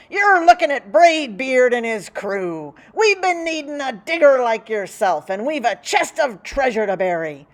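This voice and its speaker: Bellowing in a put-on character voice, a woman projects a raised, high-pitched voice with very wide pitch swings at a moderate pace, with hardly any pauses. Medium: read story. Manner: bellowing, piratey slang.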